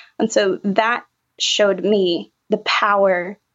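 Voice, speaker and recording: An ordinary speaking voice, a woman at medium pitch with ordinary pitch variation. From Appalachian North Carolina. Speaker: trauma therapist. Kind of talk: interview.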